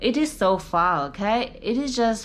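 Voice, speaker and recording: A woman speaks with a Chinese accent, with noticeable background noise and audible room echo. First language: Mandarin. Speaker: YouTuber giving dating advice. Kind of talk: casual vlog talk. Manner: many fillers and self-corrections.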